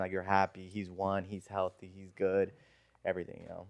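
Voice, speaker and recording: Speaking with an American accent and a plain, everyday voice, a man talks at a fairly quick pace in a fairly low pitch, the sound dry and close with no echo over a quiet background. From Burbank, California. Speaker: podcast host. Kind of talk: casual chat.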